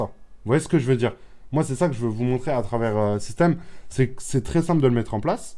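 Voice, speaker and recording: At medium pitch and a fairly quick pace, a man speaks in a dark, mellow tone with ordinary pitch variation. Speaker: online business youtuber. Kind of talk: screen-share tutorial. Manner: fast; repetitive, hesitant fillers.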